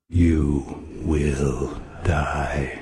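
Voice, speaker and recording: Doing a put-on character voice, a man pitches it very deep and low. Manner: ominous, threatening.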